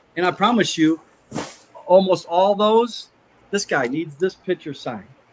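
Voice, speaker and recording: A man with a high-pitched voice talks at a moderate pace with ordinary pitch variation over noticeable background noise. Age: 50s. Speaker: former pro football player and motivational speaker. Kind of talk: casual podcast interview. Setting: podcast/livestream. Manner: animated.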